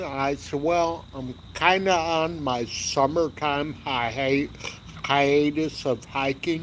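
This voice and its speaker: Amid noticeable background noise, a man with a fairly high voice speaks very slowly with fairly even intonation. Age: 60s. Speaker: hiking YouTuber. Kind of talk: casual livestream chat. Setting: outdoors by a fire pit. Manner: relaxed.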